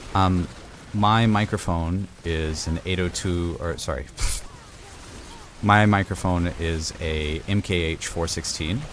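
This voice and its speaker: A quiet man speaks very slowly with a very deep, low pitch and fairly even intonation, leaving long, frequent pauses over noticeable background noise. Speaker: video game streamer. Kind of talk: casual chat. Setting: home studio. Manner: quieter, closer to mic.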